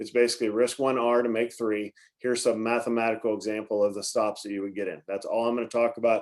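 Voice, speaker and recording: A man at medium pitch talks at a very fast pace in a monotone, flat intonation. The recording is very clean, with a silent background. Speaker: market commentator and trading educator. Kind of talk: market briefing livestream.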